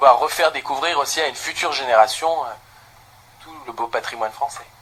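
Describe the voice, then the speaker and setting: Over noticeable background noise, a man with a fairly high pitch speaks. He talks at a fairly quick pace, with big swings in loudness. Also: ordinary pitch variation. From Lorraine, France (Thionville). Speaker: singer. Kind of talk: interview.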